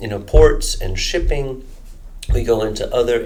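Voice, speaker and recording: Against audible room echo, a man with an American accent speaks at a fairly slow pace. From United States. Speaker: energy modeling researcher. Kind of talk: interview. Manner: halting, many fillers and restarts.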